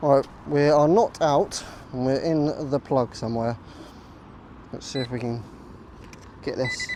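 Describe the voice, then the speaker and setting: Over noticeable background noise, a man with an English accent speaks fairly slowly at a fairly high pitch with ordinary pitch variation. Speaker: metal detecting vlogger. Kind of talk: casual vlog narration. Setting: outdoors in a field. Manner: hesitant, many fillers; quieter than usual.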